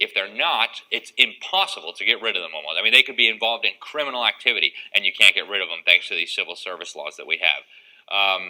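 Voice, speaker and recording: Speaking very fast, this man has an American accent. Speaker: political speaker. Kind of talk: presentation to a live audience.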